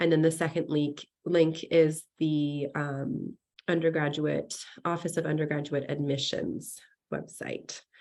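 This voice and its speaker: Against a quiet background, a woman talks at a fairly slow pace in a very deep, low pitch with monotone, flat intonation. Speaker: department adviser. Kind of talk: online info session presentation. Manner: hesitant, many fillers. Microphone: video call.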